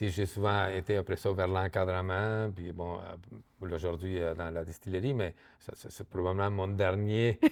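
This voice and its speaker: A man with an Argentine accent speaks fairly slowly at a fairly low pitch, his loudness swinging widely. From Argentina. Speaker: microdistillery co-owner. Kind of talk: interview. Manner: halting, many repetitions and fillers.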